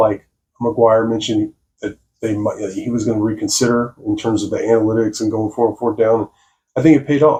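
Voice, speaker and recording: There is some breathiness in the voice. The delivery runs at a moderate pace. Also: man. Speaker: sports commentator. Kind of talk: postgame analysis video. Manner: hesitant, many fillers.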